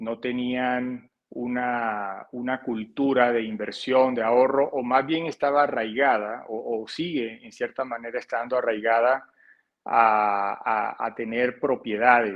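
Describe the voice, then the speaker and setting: A man with a Colombian coastal accent, medium pitch, fairly even intonation and a very slow pace. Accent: Colombian coastal accent, noticeable. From Colombia, Barranquilla (Caribbean coast). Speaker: financial advisor. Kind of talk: interview. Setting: podcast. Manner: hesitant, many repetitions.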